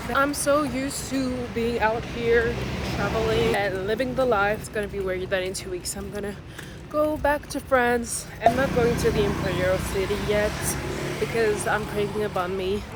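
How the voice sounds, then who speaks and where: A woman with a medium pitch and lively intonation speaks at a moderate pace amid noticeable background noise and audible room echo. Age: 20s. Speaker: travel vlogger. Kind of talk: casual vlog narration.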